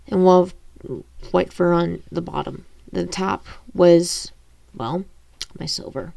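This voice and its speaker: A woman puts on a character voice. It is raspy with a fairly low pitch. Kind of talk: amateur audiobook reading. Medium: read story. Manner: halting, stumbling over words.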